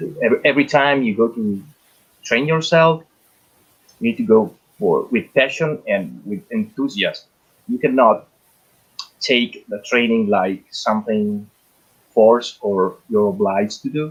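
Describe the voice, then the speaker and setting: This man speaks at a fairly slow pace with a medium pitch, lively intonation, and long, frequent pauses. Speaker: firearms instructor. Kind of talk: panel discussion. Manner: halting.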